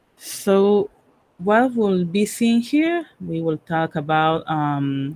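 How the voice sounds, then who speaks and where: A woman with a Panamanian accent, fairly low in pitch, with lively intonation. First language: Spanish. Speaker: cybersecurity professional and workshop speaker. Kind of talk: technical workshop presentation. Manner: halting, with many fillers.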